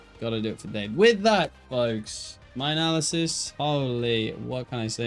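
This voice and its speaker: A man speaks with an English Midlands accent at medium pitch. His intonation is lively. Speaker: esports caster and streamer. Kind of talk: live commentary with casual chat to stream viewers. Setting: live stream from home, new room. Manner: animated.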